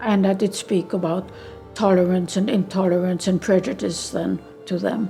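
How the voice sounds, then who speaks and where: Over music in the background, the speech runs at a moderate pace with fairly even intonation. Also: woman, medium pitch for a woman. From Vienna, Austria. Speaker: Holocaust survivor, retired school social worker. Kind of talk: interview answer.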